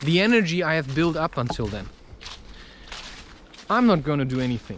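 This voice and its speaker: A man with a fairly high voice speaks with lively intonation. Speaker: spiritual podcaster and author. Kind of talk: casual spiritual talk to camera, personal monologue.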